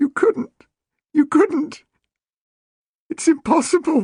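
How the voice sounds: A high-pitched, put-on character voice delivered at a fairly slow pace.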